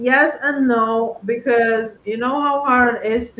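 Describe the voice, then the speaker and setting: Her pitch fairly high, a woman with a Polish accent speaks with fairly even intonation. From Poland. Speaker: political livestream host. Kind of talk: casual chat. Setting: livestream.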